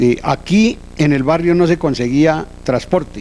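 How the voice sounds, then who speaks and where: The speaker has a normal speaking voice. The pace is fairly slow, with ordinary pitch variation. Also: man. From Colombia, Boyacá countryside. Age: 60s. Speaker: transport cooperative founder. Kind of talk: interview, personal reminiscence.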